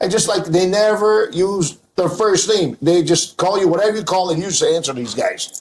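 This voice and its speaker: A man speaks loudly, his voice pitched high with ordinary pitch variation. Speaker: restaurant owner. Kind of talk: casual chat. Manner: animated.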